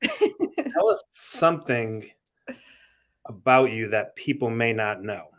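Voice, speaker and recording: A man with a Massachusetts accent, at a very slow pace with long, frequent pauses. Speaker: podcast host. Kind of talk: interview.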